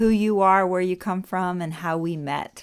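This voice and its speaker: The woman has a normal speaking voice at medium pitch, with fairly even intonation and a moderate pace. The recording is very clean, with a silent background. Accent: American. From Orlando, Florida. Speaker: podcast co-host, artist and musician. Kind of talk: casual podcast chat.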